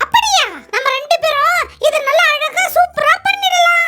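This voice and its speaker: A cartoonish character voice at an extremely high pitch moves at a fairly slow pace. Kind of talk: kids puppet show dialogue. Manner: upbeat, comic.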